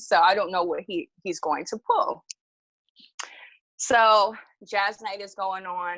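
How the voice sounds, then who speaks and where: An animated woman with a New York accent. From Jamaica, Queens, New York City. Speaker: storytelling podcast guest. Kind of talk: casual storytelling.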